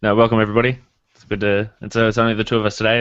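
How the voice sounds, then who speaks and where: His accent is Australian. The man's voice sits fairly low. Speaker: podcast co-host. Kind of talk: casual chat.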